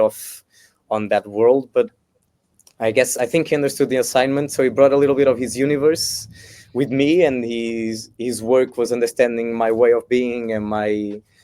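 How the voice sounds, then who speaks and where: Speaking at a fairly quick pace in a Portuguese accent, a man has a medium-pitched voice, a dark, mellow tone and fairly even intonation. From Portugal, Lisbon area. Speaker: singer-songwriter, festival contestant. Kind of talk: interview. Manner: halting.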